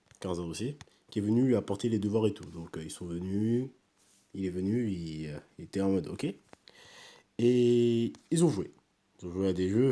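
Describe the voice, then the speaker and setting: A soft-spoken man talks at a fairly slow pace with a dark, mellow tone. His fairly low pitch moves in lively intonation. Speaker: youtuber. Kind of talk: casual review. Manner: halting.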